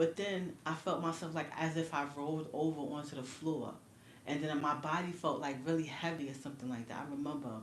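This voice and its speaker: A woman's very deep, low voice in a New York accent at a fairly quick pace, with fairly even intonation, audible room echo and noticeable background noise. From New York City. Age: 40s. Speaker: livestreamer. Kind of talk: casual chat. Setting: livestream. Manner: casual, filler-heavy.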